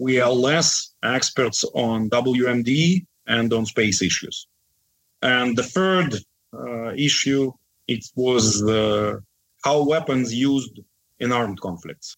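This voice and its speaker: A man with a Russian accent speaks at a very slow pace. His pitch is medium, with ordinary variation. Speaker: defense analyst. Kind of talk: interview.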